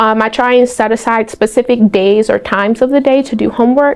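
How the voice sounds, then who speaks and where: Noticeable background noise behind a woman's fairly high voice and fairly even intonation. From Baltimore, Maryland, US. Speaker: university student. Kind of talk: interview testimonial. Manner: casual, filler-heavy.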